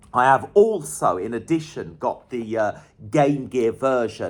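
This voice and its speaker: Fairly slow speech from a medium-pitched man with a northern English accent and an enthusiastic tone. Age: 40s. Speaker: retro gaming YouTuber. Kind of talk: casual video monologue. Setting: at home in cold flat.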